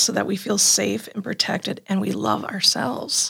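A woman with a Wisconsin accent on a very clean recording with a silent background. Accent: Upper Midwest (Wisconsin). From Green Bay, Wisconsin. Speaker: program facilitator and home herbalist. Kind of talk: casual faith-based conversation. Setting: studio.

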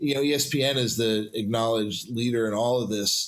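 A man's normal speaking voice, medium in pitch, with ordinary pitch variation and a moderate pace. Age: 50s. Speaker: podcast host. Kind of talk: casual chat. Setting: studio.

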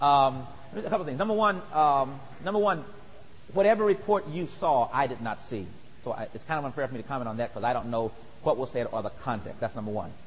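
Speech at a very fast pace with an American accent swings very widely in pitch, with audible room echo. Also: man, fairly high pitch for a man. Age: 40s. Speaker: pastor. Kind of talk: sermon; question and answer. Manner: halting.

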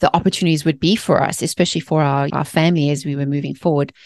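A woman's very deep, low voice with a South African accent, dry and close with no echo, over a quiet background. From South Africa, Johannesburg. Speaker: mindset author and speaker. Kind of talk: interview conversation. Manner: animated.

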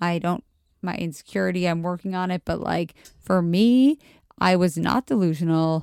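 A plain, everyday voice: a woman with an American accent, fairly low pitch, ordinary pitch variation and a moderate pace. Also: dry, close sound with no echo. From Montgomery County, Maryland, near DC. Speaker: friend of the host. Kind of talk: casual chat. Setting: at home.

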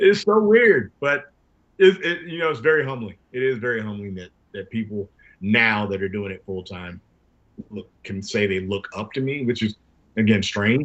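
A man's normal speaking voice with an American accent, medium in pitch and moderate in pace, with lively intonation and big swings in loudness. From US South, Jacksonville, Florida. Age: 50s. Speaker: professional wrestler. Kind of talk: casual interview.

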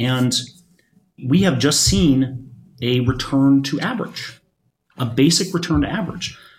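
A man's somewhat breathy voice at medium pitch, ordinary pitch variation, a fairly slow pace with long, frequent pauses, and audible room echo. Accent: American. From Michigan. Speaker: volatility fund manager. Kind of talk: panel discussion. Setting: studio at a conference. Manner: repeats words, halting.

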